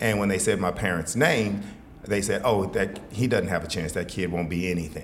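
A man with an American accent, fairly low in pitch, at a moderate pace with ordinary pitch variation, in audible room echo. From Texas, Fort Worth. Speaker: author and leadership speaker. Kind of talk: interview conversation.

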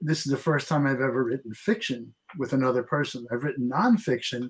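A man talks at a very fast pace, his medium-pitched voice somewhat breathy. His pitch varies in an ordinary way. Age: 70s. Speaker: author and writing teacher. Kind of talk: radio interview.

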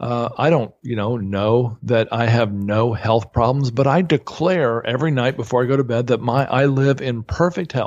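A man's medium-pitched, a normal speaking voice at a moderate pace against a quiet background. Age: 50s. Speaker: real estate investor and author. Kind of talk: podcast interview.

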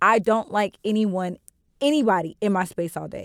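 In a plain, everyday voice, a woman speaks with medium pitch and ordinary pitch variation, the sound dry and close with no echo. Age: 20s. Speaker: podcast co-host. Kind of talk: casual chat.

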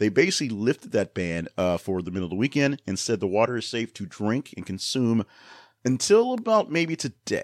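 A man with a normal speaking voice talks at a fairly quick pace in a medium pitch with lively intonation. The recording is very clean, with a silent background. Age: 40s. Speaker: news podcast host. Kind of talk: news commentary. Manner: casual, with many fillers.

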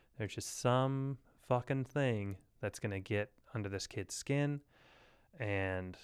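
In a very clean recording with a silent background, a man with a normal speaking voice talks at a fairly slow pace in a fairly low pitch with ordinary pitch variation. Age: 30s. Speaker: podcast host. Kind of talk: casual chat.

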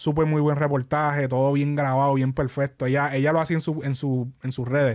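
Here a man speaks with a Puerto Rican accent. His pitch is fairly high. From Puerto Rico. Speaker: podcast host. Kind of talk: casual chat. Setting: studio. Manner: animated.

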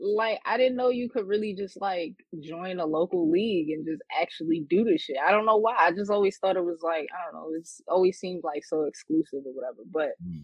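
A woman with a New York accent and medium pitch speaks at a fairly quick pace with hardly any pauses. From Queens, New York. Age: 20s. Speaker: battle rapper. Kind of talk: interview. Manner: hesitant, many fillers.

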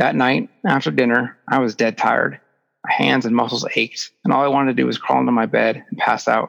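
The background stays quiet while a natural voice reads aloud.

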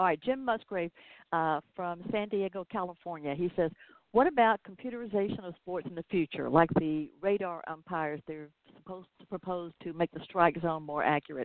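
In a Southern US accent, a woman talks at a moderate pace with a fairly low voice and ordinary pitch variation. Her loudness swings widely. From US South. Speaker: podcast host. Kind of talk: casual interview.

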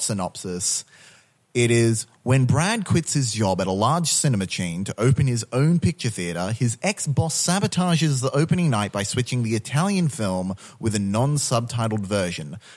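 Recorded very cleanly against a silent background, a man speaks at a medium pitch and moderate pace in a plain, everyday voice. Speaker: podcast co-host and filmmaker. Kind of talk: casual chat.

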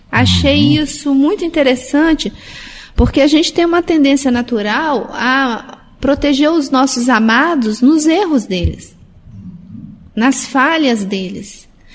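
Speaking very slowly, a woman uses a high pitch. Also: ordinary pitch variation. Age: 50s. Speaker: radio host. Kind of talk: casual chat.

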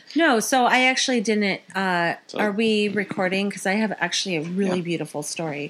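With a plain, everyday voice, a woman speaks at a medium pitch and a fairly quick pace, using lively intonation and hardly any pauses. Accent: American. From Phoenix, Arizona, US. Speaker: podcast co-host. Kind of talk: casual chat.

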